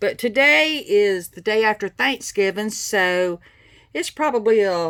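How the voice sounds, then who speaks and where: With a Southern US accent, a woman speaks at a moderate pace, her pitch swinging very widely. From US South, South Carolina. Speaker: craft tutorial maker. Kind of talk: tutorial. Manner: casual, chatty.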